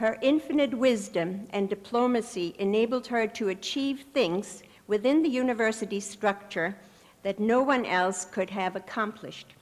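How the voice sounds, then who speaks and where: A woman speaks in a normal speaking voice, pitched fairly high. Her pitch varies in an ordinary way at a moderate pace. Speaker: professor. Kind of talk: ceremonial speech. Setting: stage with audience. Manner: formal.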